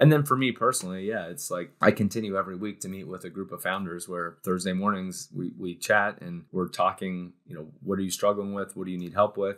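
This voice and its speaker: A man with an American accent, very deep and low in pitch, at a fairly quick pace with hardly any pauses, ordinary pitch variation and big swings in loudness, against a quiet background. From Cincinnati, Ohio, US Midwest; Ohio. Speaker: startup co-founder; guest. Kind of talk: interview conversation. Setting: studio. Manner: animated. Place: office. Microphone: webcam.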